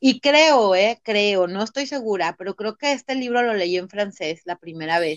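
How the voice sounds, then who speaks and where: A woman talks at a fairly slow pace with hardly any pauses. Her pitch is medium. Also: lively intonation. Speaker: lawyer and personal growth coach. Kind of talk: interview. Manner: halting, many repeated words.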